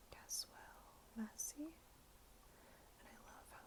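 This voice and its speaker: Whispering in a gentle tone, a woman speaks at a very slow pace over noticeable background noise. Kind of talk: ASMR show and tell, talking to camera. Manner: soft-spoken, gentle.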